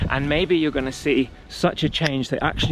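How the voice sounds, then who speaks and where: A man speaks at a medium pitch and a moderate pace, with noticeable background noise behind him. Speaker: wellness coach. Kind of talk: motivational talk.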